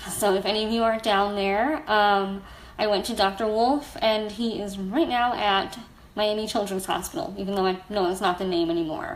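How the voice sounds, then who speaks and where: At a moderate pace, a woman of medium pitch speaks with an American accent and ordinary pitch variation, some room echo audible around her. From US, South Florida. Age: 30s. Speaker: blogger and storyteller. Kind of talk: personal testimony on a livestream. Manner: casual, frequent fillers.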